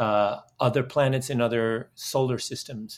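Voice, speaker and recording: In a Dutch accent, a man speaks at a fairly slow pace and a medium pitch. His intonation is fairly even, and the recording is very clean with a silent background. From Netherlands. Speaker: video game entrepreneur and clean energy activist. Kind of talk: interview.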